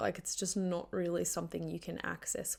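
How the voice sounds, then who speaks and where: A woman with an Australian accent. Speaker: podcast host. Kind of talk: solo podcast monologue. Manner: casual, conversational with fillers.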